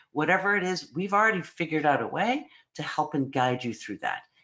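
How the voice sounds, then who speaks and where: Her pitch very deep and low, a woman speaks with very wide pitch swings. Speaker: psychology program director. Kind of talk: online information session presentation. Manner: fast.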